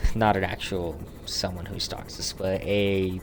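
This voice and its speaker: A man with a fairly low voice speaks over music in the background. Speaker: gaming streamer. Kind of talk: gameplay commentary stream. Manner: slow; casual, chatty.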